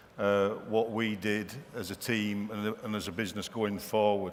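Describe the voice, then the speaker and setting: A man talks at a fairly slow pace. There is audible room echo around his voice. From northern England, Wigan. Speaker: company managing director, conference speaker. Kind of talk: conference keynote speech. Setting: stage with audience. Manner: hesitant, many fillers.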